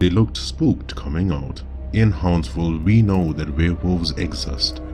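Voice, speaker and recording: Music plays in the background as a man speaks at a moderate pace. His very deep, low voice has lively intonation. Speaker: storyteller. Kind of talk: horror story narration.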